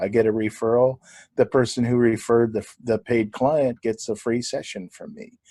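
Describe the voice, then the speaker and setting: A voice with an American accent and a dark, mellow tone sounds against a quiet background. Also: man, dry, close sound with no echo. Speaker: clinical hypnotherapist. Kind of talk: podcast interview.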